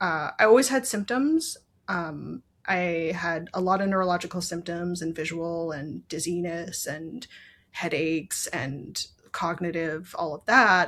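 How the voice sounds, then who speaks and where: This woman has a normal speaking voice at a fairly low pitch. Her pitch variation is ordinary. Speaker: brain injury survivor and patient advocate. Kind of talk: interview, personal health story.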